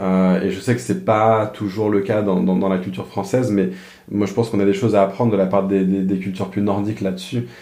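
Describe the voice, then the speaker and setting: A man's dark, mellow tone sits at a fairly low pitch with fairly even intonation. He talks at a fairly quick pace, with audible room echo. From France. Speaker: pastor. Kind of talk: casual interview conversation. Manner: halting, frequent repeated words.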